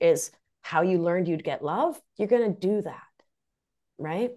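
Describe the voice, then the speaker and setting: A woman has a dark, mellow tone at a medium pitch. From Argentina. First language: Spanish. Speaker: nurse practitioner and life coach. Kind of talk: interview conversation.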